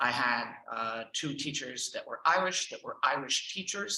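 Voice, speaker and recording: This voice has a Texan accent. Its pitch varies in an ordinary way. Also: man. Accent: Texan American English. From Texas, Houston. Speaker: language teacher and trainer. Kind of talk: presentation.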